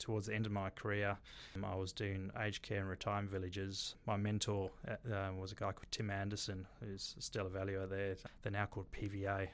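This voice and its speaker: A man with a slight South African accent talks at a fairly quick pace, fairly low in pitch and flat in tone. The recording is very clean, with a silent background. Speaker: bar and restaurant developer. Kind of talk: interview.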